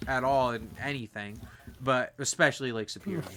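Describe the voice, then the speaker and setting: This man has a fairly high voice and an American accent. He talks at a fairly quick pace against noticeable background noise. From Michigan, US Midwest. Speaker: podcast host. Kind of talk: casual chat.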